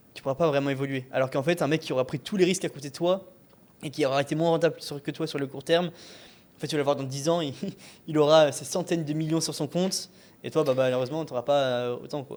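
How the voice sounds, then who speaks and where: Very fast pace and fairly even intonation from a man, fairly high in pitch. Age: 20s. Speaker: e-commerce entrepreneur. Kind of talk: casual chat.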